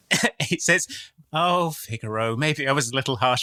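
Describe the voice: Just plain reading aloud.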